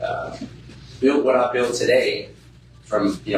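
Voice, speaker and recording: Noticeable background noise and audible room echo around a male speaker. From South Louisiana, Cajun. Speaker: real estate investor, speaker. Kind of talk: seminar talk to live audience. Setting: stage with live audience. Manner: casual, blunt.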